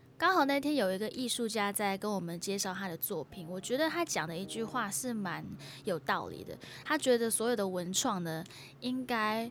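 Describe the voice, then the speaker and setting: With lively intonation, a woman speaks in a plain, everyday voice at medium pitch and a moderate pace. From Singapore. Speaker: podcast host and singer-songwriter. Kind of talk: casual solo podcast, travel talk.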